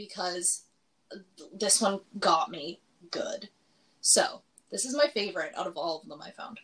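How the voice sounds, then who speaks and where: Speaking at a fairly slow pace and a medium pitch, a woman has an unremarkable speaking voice. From Alberta, Canada (small town). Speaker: podcast co-host. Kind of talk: casual chat.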